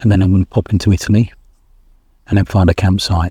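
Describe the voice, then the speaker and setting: The speaker talks at a very fast pace with an English accent and monotone, flat intonation. The tone is dark and mellow, and somewhat breathy. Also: man, dry, close sound with no echo. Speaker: motorcycle travel vlogger. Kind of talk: casual vlog talk to camera. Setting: campsite outdoors.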